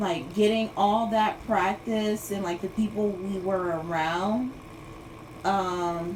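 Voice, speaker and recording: A woman speaks at a very slow pace. Background noise is noticeable, and there is audible room echo. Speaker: livestreamer. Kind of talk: casual livestream chat. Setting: Instagram live stream. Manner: rambling, filler-heavy.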